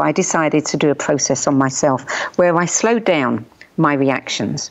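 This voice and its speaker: A woman with a British accent speaks at a very deep, low pitch. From UK. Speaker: journalist and radio host. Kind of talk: interview answer.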